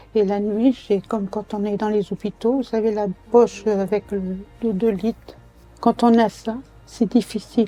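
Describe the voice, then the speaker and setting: A woman speaks at a fairly slow pace in a flat, monotone way. Her pitch is fairly high, with music playing in the background. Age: 80s+. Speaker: retired nursing home supervisor; cancer survivor. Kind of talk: documentary interview answer.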